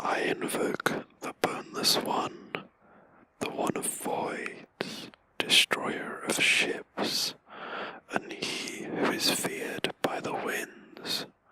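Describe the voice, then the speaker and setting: A man whispers at a very slow pace in a relaxed tone. Noticeable background noise sits behind him. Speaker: let's play commentator. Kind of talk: whispered gaming commentary. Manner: whispered, relaxed.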